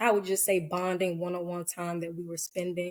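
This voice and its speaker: In a monotone, flat delivery, a woman with an American accent speaks at a medium pitch with a dark, mellow tone. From US South, Georgia (Cobb County). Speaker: licensed professional counselor. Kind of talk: personal testimony in podcast interview. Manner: hesitant, many fillers; soft-spoken.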